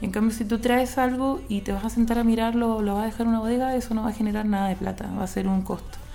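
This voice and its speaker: Through noticeable background noise and audible room echo, a woman with a fairly high voice speaks very fast in a flat monotone. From Chile. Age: 30s. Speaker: import business consultant. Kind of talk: radio interview.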